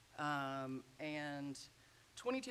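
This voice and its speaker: Her accent is American. The woman's intonation moves in a lively way. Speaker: sociology professor. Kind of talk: lecture. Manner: loud; animated.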